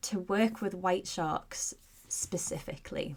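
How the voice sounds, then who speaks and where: With a Scottish accent, a woman speaks at a medium pitch with ordinary pitch variation. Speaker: podcast host. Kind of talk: podcast interview. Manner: casual, chatty.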